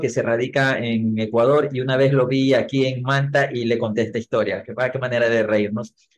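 A man talks at a moderate pace with a medium pitch. It is a normal speaking voice. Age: 40s. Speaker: marketing trainer and speaker. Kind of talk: interview.

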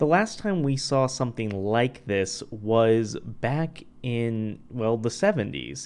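A man's unremarkable speaking voice, medium in pitch with ordinary pitch variation, over a quiet background. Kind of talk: radio host patter: breezy sign-off and plug, cheery self-promo with ad-libbed asides. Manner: bubbly, chatty and playful, tossing off jokes and gushing thanks; casual, conversational with filler 'uh' and 'um', self-aware laughing asides.

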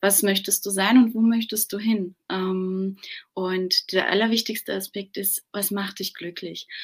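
Her loudness swinging widely, a woman speaks at a fairly slow pace in a medium pitch with a monotone, flat intonation. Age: 30s. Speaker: business owner and mother. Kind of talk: interview.

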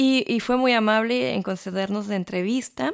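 A woman with a Mexican accent speaks at a fairly slow pace in a dry, close sound with no echo. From Mexico. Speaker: radio host and journalist. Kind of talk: radio segment introduction.

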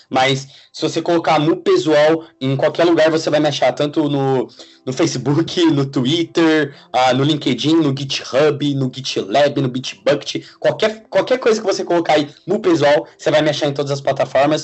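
Here is an unremarkable speaking voice from a man with a fairly high pitch. He keeps a moderate pace with ordinary pitch variation. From Brazil, São Paulo state (Suzano). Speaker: software engineer. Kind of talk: casual interview.

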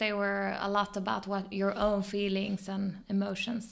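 A woman with a Swedish accent talks at a fairly slow pace. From southern Sweden, Malmö. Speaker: photographer and filmmaker. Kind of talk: interview.

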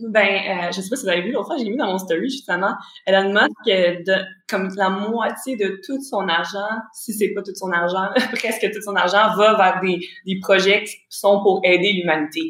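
A woman's medium-pitched voice in a Quebec accent, fairly even in intonation, at a moderate pace. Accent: Québécois French. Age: 20s. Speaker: forex trader and real estate investor. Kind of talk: casual interview chat. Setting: remote call.

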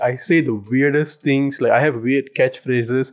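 A man with an unremarkable speaking voice keeps a moderate pace and a fairly high pitch. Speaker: podcast co-host. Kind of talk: casual chat.

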